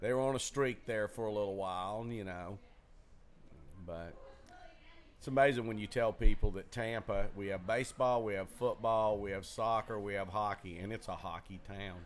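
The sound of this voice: A man's fairly low voice in a Southern US accent, at a moderate pace with ordinary pitch variation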